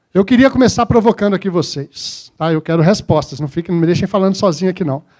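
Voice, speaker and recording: A man talks at a fairly quick pace. His voice is high, with lively intonation. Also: very clean recording, silent background. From Minas Gerais, Brazil. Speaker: corporate speaker. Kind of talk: conference talk.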